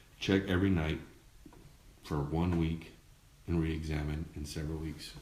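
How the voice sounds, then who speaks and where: A man with an American accent and a very deep, low pitch, at a fairly slow pace with fairly even intonation and audible room echo. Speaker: dad blogger and show host. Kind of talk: casual live-stream commentary. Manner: lowered voice at one point.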